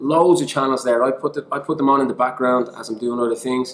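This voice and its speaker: A man speaks with an Irish accent in an animated tone. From Ireland. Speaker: online English teacher. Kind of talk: tutorial.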